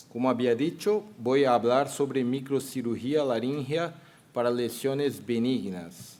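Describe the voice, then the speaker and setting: A man with a Brazilian accent talks at a very slow pace and medium pitch. Room echo is audible. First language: Portuguese (speaking Spanish). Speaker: surgeon and professor, panel moderator. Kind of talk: medical conference lecture.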